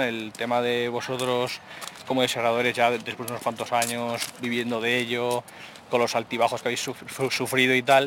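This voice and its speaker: A man speaks at a moderate pace with a medium pitch. Noticeable background noise runs behind him. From Aragon, Spain. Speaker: game developer and journalist. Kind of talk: casual chat.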